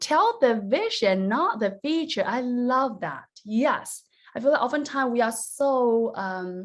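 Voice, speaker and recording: A woman speaks with a Chinese accent at a high pitch. Her tone is animated and her intonation lively. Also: fairly slow pace. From China, rural mountain village. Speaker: business coach. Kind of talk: online workshop presentation.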